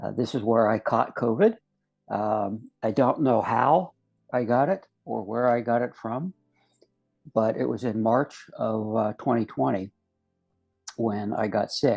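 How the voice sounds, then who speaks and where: With music in the background, the speaker leaves long, frequent pauses and shows ordinary pitch variation. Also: man, medium pitch for a man, fairly slow pace. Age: 70s. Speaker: near-death experiencer, retired investigator and educator. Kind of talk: testimony. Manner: halting, many fillers.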